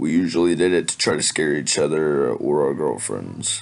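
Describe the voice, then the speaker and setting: A raspy, very deep put-on character voice from a man, with fairly even intonation at a moderate pace. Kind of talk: scary story narration. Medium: read story. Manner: casual, slightly halting.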